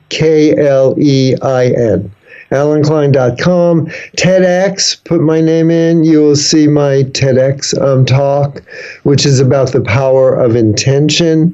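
With an American accent, a man speaks very slowly in a fairly high voice, his loudness very even against noticeable background noise. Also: ordinary pitch variation. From New York City (the Bronx). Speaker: humor speaker and author. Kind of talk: interview. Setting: video call.

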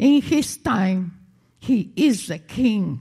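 With lively intonation and a dark, mellow tone, a woman speaks at a very slow pace on a very clean recording with a silent background. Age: 80s+. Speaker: pastor. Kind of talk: sermon. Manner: animated.

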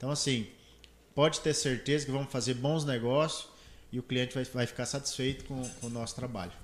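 Fairly quick and medium in pitch, a man speaks in an unremarkable speaking voice with fairly even intonation. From Brazil, Mato Grosso (Confresa). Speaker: solar energy entrepreneur. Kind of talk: casual interview. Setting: studio, live stream.

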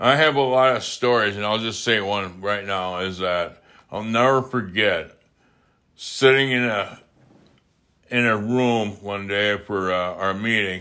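A man's fairly low-pitched voice with an Upper Midwest accent, bright and sharp in tone, at a fairly slow pace with ordinary pitch variation, in a very clean recording with a silent background. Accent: Upper Midwest American. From Wisconsin. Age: 50s. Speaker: podcaster in recovery. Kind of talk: casual monologue. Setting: home recording.

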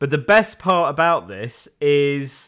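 A man with a Yorkshire accent speaks at a fairly high pitch in a bright, sharp tone, with ordinary pitch variation. The recording is very clean, with a silent background. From West Yorkshire, Leeds. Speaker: podcast co-host. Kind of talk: casual chat.

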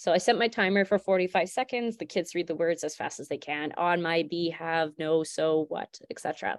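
This is an unremarkable speaking voice in a Canadian accent. It keeps a moderate pace. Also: woman. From Alberta, Canada. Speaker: elementary school teacher. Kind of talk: tutorial.

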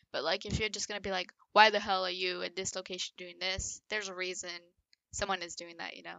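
Very fast and monotone, a woman speaks with flat intonation, vocal fry and big swings in loudness. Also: medium pitch for a woman. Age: 20s. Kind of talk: casual chat.

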